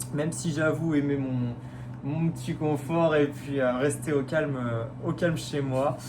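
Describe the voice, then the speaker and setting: A man speaks at a fairly slow pace with fairly even intonation. Noticeable background noise and audible room echo are present. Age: 20s. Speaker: radiology technician, reality show applicant. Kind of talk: casting video self-presentation. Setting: self-filmed video. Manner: hesitant, many fillers.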